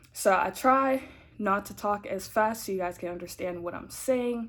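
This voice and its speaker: There is noticeable background noise, and the speech has ordinary pitch variation. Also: woman. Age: 20s. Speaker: vlogger, college student. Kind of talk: casual vlog chat. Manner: fast; words run together.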